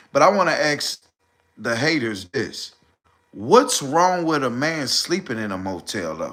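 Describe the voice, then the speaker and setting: The voice has a bright, sharp, animated tone with vocal fry. It moves at a fairly slow pace through very wide pitch swings. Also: man, fairly high pitch for a man. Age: 40s. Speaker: live streamer. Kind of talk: casual livestream monologue.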